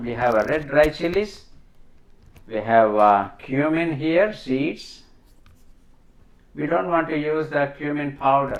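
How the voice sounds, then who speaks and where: Fairly high-pitched male voice with lively intonation and audible room echo. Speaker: home cook. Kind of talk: tutorial. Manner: slow; halting.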